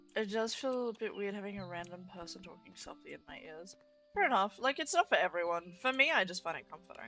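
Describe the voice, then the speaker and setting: The speech is very fast, with lively intonation and big swings in loudness. Music plays in the background. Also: woman, medium pitch for a woman. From Australia. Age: 20s. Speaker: vtuber streamer. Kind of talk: casual gaming livestream chat. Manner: loud at times.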